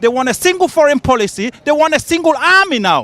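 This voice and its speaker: Amid noticeable background noise, a man speaks fairly quickly with lively intonation, the sound dry and close with no echo. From Britain. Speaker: pro-Brexit demonstrator. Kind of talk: street interview. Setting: outdoors at a demonstration. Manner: emphatic.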